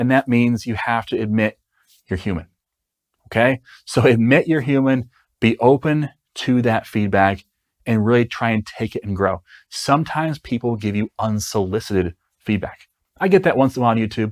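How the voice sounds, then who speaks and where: In a very clean recording with a silent background, a man of medium pitch speaks with ordinary pitch variation and long, frequent pauses. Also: dry, close sound with no echo. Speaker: software developer and online educator. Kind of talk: podcast-style advice monologue. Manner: slow.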